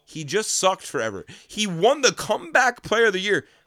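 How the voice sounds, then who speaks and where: The recording is dry and close, without echo. A man delivers his words fairly quickly. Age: 20s. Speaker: podcast co-host. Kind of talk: casual chat. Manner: animated.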